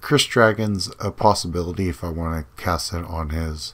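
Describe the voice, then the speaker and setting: At a moderate pace, a man speaks in a very deep, low pitch with fairly even intonation and a somewhat breathy sound. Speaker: gaming video creator. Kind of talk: gameplay commentary. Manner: casual, hesitant with fillers.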